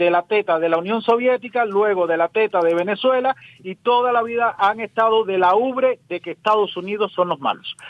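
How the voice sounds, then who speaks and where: This man has a high-pitched voice and speaks at a moderate pace. He barely pauses, and his pitch varies in an ordinary way. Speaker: radio host and political commentator. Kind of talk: remote interview.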